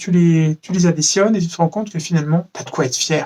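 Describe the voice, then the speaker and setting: The sound is dry and close, with no echo. A man speaks at a fairly quick pace in a high pitch with ordinary pitch variation. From France. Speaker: vlogger. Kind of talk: casual vlog monologue.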